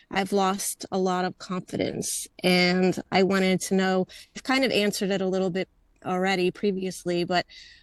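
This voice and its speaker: Recorded dry and close with no echo over a quiet background, a woman uses a normal speaking voice at medium pitch and a moderate pace. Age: 60s. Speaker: webinar participant. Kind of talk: casual chat.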